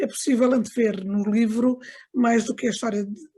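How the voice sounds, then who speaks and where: A woman's fairly high, somewhat breathy voice with a dark, mellow tone at a moderate pace. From Angola (Lubango), moved to Portugal at 15. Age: 60s. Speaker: book launch speaker, daughter of an author. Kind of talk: book launch remarks. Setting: video call. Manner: halting, many fillers.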